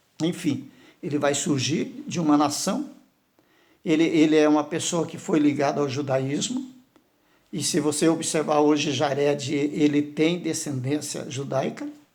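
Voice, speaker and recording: Amid audible room echo, a man speaks at a fairly slow pace with a fairly high pitch. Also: fairly even intonation. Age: 60s. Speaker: pastor. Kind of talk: sermon. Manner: halting.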